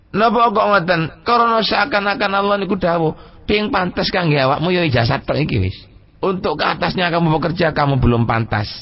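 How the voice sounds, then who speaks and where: At a moderate pace, the speaker's pitch swings very widely. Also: man. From Pasuruan, East Java, Indonesia. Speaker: Islamic cleric and pesantren leader giving a public lecture. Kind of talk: Islamic sermon on Sufi text (Al-Hikam).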